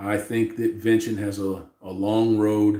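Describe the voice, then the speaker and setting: Here is a man at a medium pitch. His tone is dark and mellow. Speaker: livestream host. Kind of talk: casual livestream chat. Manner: loud.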